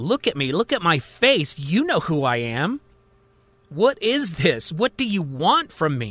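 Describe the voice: A man's put-on character voice, fairly high in pitch and fairly bright in tone, with big pitch swings at a fairly slow pace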